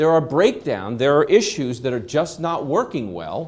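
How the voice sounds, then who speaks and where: An animated man with vocal fry talks at a moderate pace. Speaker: trainer. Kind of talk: lecture.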